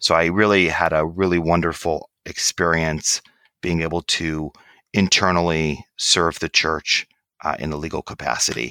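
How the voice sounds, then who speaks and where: A man's very deep, low voice with a bright, sharp tone and an American accent, at a moderate pace, in a very clean, dry, close recording with no echo and a silent background. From Michigan, US Midwest. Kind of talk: interview.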